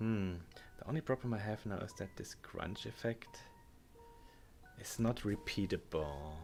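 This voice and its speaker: With a German accent, a man with a fairly low voice speaks in lively intonation, leaving long, frequent pauses. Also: fairly slow pace. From Germany. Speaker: game modder and livestreamer. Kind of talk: livestream chat while working. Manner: halting.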